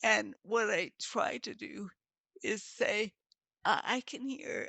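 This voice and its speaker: Very slowly, a woman speaks in a dry, close sound with no echo. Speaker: panelist living with multiple sclerosis. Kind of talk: casual panel conversation. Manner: soft-spoken.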